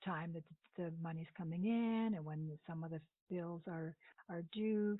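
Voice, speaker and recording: A woman with fairly low pitch, an ordinary speaking voice, a moderate pace and fairly even intonation. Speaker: budget coach. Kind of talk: recorded training lecture.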